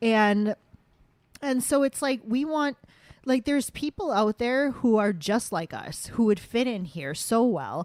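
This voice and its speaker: The woman's intonation is lively. Her pitch sits fairly high. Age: 40s. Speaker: podcast host. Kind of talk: casual chat. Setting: home dining room. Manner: halting, many fillers and restarts.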